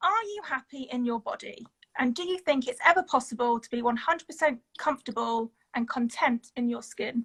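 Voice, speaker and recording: A woman with an English accent, high-pitched and lively in intonation, at a fairly quick pace, with big swings in loudness, in a dry, close sound with no echo. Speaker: plus-size model. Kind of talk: casual chat. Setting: video livestream from bed at home.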